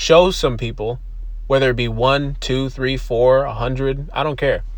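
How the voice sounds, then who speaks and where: Through audible room echo and noticeable background noise, a man in an American accent talks at a moderate pace. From US East Coast, from Buffalo, New York. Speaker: podcast host. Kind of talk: casual monologue. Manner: rambling, casual with frequent fillers and laughter.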